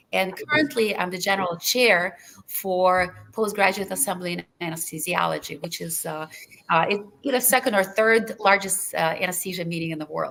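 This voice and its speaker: Speaking at a moderate pace, a woman with a Russian accent has a medium pitch and ordinary pitch variation. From Lithuania, Russian-speaking; US from age 15. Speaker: anesthesiology professor. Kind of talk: webinar panel discussion.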